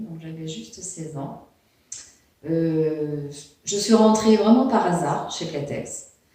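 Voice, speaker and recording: A woman's very slow speech with lively intonation and audible room echo. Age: 60s. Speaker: retired factory worker. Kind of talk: testimony. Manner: halting.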